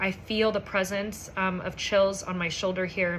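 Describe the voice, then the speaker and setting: Against noticeable background noise, a woman speaks in a medium pitch with monotone, flat intonation. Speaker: psychic medium. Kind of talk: channeled message monologue. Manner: halting, stumbling over words; casual, conversational.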